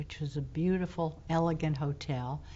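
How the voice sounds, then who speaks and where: Her voice fairly low and somewhat breathy, a woman with an American accent speaks at a fairly slow pace with fairly even intonation. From St. Petersburg, Florida. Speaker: retired teacher. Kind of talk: oral history interview answer.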